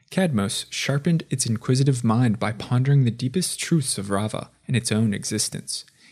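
On a very clean recording with a silent background, a man speaks at a medium pitch and moderate pace, somewhat breathy, in a dramatic tone with ordinary pitch variation. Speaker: lore video narrator. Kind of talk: scripted fantasy lore narration. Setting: video voiceover. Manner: dramatic, formal, measured storyteller delivery.

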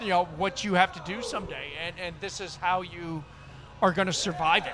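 A man with an American accent talks at a moderate pace in a high voice, with noticeable background noise behind him. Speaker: veteran and corporate veterans group leader. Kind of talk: casual interview chat. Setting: outdoors at a charity event.

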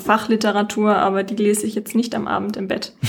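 Her voice sits fairly high. The woman talks at a medium speed. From Franconia, Germany (Nuremberg). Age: 20s. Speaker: psychology student, dating podcast guest. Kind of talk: casual chat.

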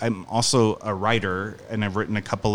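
In a Midwestern American accent, a man with a fairly low pitch speaks at a moderate pace in a monotone, flat intonation. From US Midwest (Union, Missouri). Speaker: stage actor and director. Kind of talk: interview.

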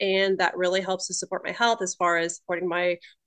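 Against a quiet background, a woman speaks at a very fast pace and medium pitch, the sound dry and close with no echo. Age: 30s. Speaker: holistic nutritionist and cosmetologist. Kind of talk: casual chat.

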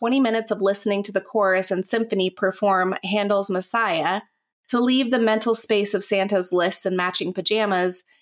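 With a quiet background, the speaker reads aloud naturally, and the intonation stays fairly even.

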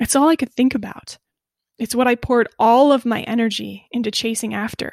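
At a fairly quick pace, a woman with an American accent speaks in a fairly high pitch, the sound dry and close with no echo. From Iowa, US Midwest. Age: 30s. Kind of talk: devotional podcast talk. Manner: animated.

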